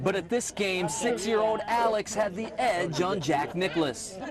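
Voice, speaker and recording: A man's high-pitched voice at a fairly slow pace, ordinary pitch variation and noticeable background noise. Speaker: TV news reporter. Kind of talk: TV news reporter narration.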